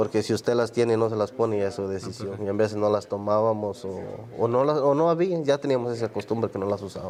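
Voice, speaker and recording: Hardly pausing, a man with a Honduran accent speaks at a very fast pace. His pitch is fairly low. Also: ordinary pitch variation. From Honduras. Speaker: migrant worker. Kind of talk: oral history interview answer.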